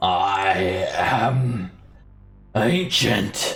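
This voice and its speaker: A raspy, fairly low-pitched put-on character voice from a man. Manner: hissing, menacing.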